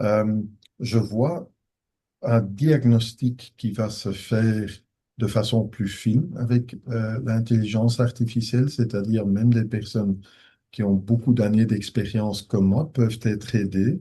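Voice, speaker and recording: A man's medium-pitched, dark, mellow voice, somewhat breathy, at a very slow pace with fairly even intonation. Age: 60s. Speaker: professor of ophthalmology, retina specialist. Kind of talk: conference Q&A. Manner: hesitant, with many fillers.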